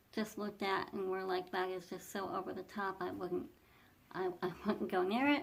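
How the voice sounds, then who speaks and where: Soft-spoken, a woman talks at a medium pitch with lively intonation. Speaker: fashion vlogger. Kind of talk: casual talk to camera. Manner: hesitant, repeats words.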